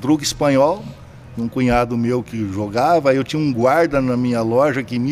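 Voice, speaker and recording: He has an unremarkable speaking voice at medium pitch. His intonation stays fairly even. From Brazil, Cuiabá, Mato Grosso. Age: 60s. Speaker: poker entrepreneur. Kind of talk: casual chat.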